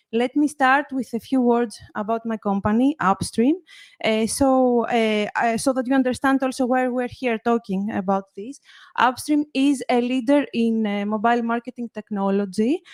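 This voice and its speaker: A woman talks in a high voice with a Greek accent. Her pitch varies in an ordinary way. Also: moderate pace, dry, close sound with no echo. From Greece. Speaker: marketing executive. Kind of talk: conference presentation.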